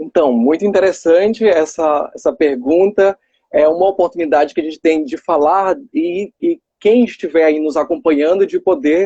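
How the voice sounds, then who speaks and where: This man speaks at a moderate pace in a high pitch with a dark, mellow tone and ordinary pitch variation, the sound dry and close with no echo. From Maranhão, northeastern Brazil. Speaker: nurse and election candidate. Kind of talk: live stream interview.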